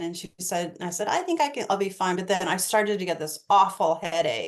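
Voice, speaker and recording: Using a normal speaking voice, a woman of medium pitch talks at a fairly quick pace with ordinary pitch variation. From eastern United States. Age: 60s. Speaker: astrologer. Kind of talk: casual interview chat.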